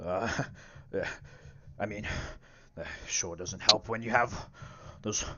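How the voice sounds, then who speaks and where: A man performs a put-on character voice with a raspy edge. He speaks at a fairly slow pace. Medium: actual play. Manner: hesitant, rambling.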